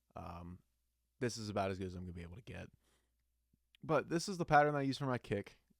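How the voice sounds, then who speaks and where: A man's lively intonation at a fairly quick pace, in a very clean recording with a silent background. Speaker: singer and music producer. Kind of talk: tutorial. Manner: casual, with many fillers.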